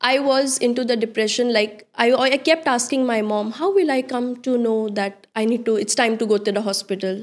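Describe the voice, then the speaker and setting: A woman with an Indian accent talks at a fairly quick pace with hardly any pauses. Her pitch is fairly high, with ordinary pitch variation. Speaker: interior designer. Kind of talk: casual interview chat.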